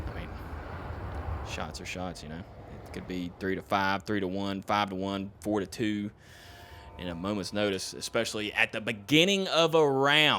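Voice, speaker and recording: A man with a Southern US accent and a fairly low pitch, with a bright, sharp tone, lively intonation, big swings in loudness, a moderate pace and long, frequent pauses. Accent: southern twang. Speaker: esports co-caster. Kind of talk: live commentary. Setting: live stream.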